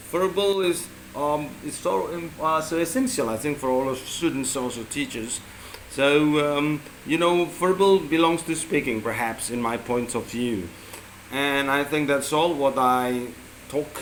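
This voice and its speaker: The speech moves at a fairly slow pace with ordinary pitch variation over noticeable background noise. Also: man, fairly high pitch for a man. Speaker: English teacher. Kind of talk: spoken assignment reflection. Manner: halting, many fillers; loud.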